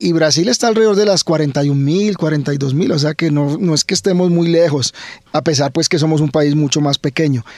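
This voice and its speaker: A fairly high-pitched man at a moderate pace, with ordinary pitch variation and very even loudness against a quiet background. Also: dry sound with no echo. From Colombia, Cali (Valle del Cauca); Colombia. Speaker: biology professor. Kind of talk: radio interview. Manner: repeats words, halting.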